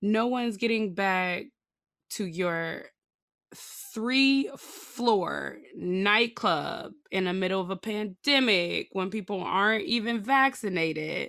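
The tone is bright and sharp, with ordinary pitch variation at a very slow pace. The recording is very clean, with a silent background. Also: woman, medium pitch for a woman. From Chicago. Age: 30s. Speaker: podcast co-host. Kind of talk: casual chat.

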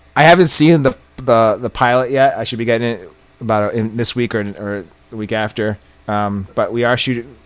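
Talking at a fairly quick pace, a man with an unremarkable speaking voice holds a medium pitch and ordinary pitch variation. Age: 40s. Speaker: podcast co-host. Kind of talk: casual chat.

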